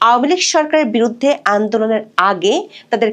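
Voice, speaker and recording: With lively intonation and a fairly high pitch, a woman talks in an ordinary speaking voice. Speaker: news reporter. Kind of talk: scripted news report. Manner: formal.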